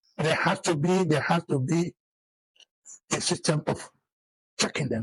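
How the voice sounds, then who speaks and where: A fairly high-pitched man's voice with vocal fry comes through dry and close, with no echo. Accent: Nigerian. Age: 80s+. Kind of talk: interview answer.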